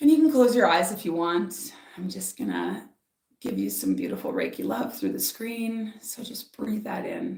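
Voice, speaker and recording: The loudness swings widely from moment to moment. The pace is moderate. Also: woman. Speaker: spiritual author and speaker. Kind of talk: live stream oracle reading and guided meditation. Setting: live stream. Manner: animated, loud, talks with hands; softer during meditation.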